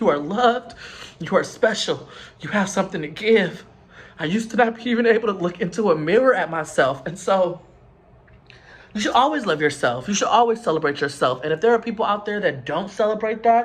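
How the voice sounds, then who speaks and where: A man with a high pitch talks at a fairly quick pace with lively intonation. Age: 20s. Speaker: vlogger. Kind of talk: personal vlog monologue. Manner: earnest, emotional.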